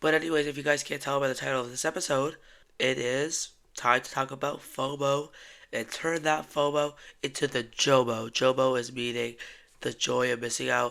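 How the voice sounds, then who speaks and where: In a put-on character voice, a man speaks raspy and monotone with flat intonation, a medium pitch and a moderate pace. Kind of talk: podcast host, casual.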